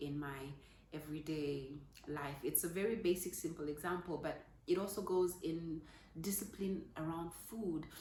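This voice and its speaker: With noticeable background noise and audible room echo, a woman speaks at a moderate pace in a fairly low voice with fairly even intonation. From Zambia. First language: Zambian language, not English. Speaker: parenting vlogger. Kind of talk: casual talk to camera. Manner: halting, with fillers.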